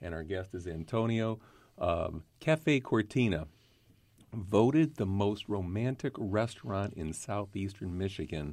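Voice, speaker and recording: In a very clean recording with a silent background, a man speaks in an ordinary speaking voice. His pitch is fairly low and his pace fairly slow. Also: lively intonation. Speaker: podcast host and vodka brand representative. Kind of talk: podcast interview. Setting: studio.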